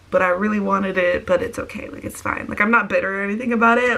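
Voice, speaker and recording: A woman with an American accent talks at a very fast pace and medium pitch. Her intonation is fairly even, with noticeable background noise behind her. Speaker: vlogger. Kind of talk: casual vlog storytime.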